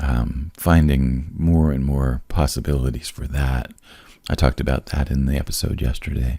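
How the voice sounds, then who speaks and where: A man with a very deep, low pitch and a dark, mellow, somewhat breathy tone, at a moderate pace. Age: 60s. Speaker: podcast host. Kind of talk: casual chat. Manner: animated.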